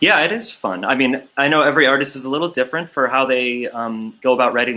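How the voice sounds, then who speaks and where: A man speaks at medium pitch with ordinary pitch variation. His tone is bright and sharp. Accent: slight Midwestern. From Chicago. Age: 40s. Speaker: livestream festival host and songwriter. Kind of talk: casual interview chat.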